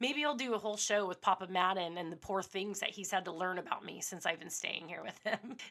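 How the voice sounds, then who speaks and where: A woman's medium-pitched voice at a fairly quick pace, with ordinary pitch variation. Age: 40s. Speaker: podcast host, former radio host. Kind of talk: casual monologue. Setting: home studio. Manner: unscripted, a little all over the place.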